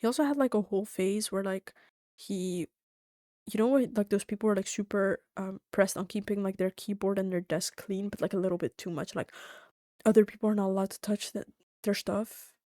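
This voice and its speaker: Soft-spoken and fairly quick, a woman with a dark, mellow tone and fairly even intonation comes through on a very clean recording with a silent background and a dry, close sound free of echo. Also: medium pitch for a woman. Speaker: streamer. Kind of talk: casual chat. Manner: quiet.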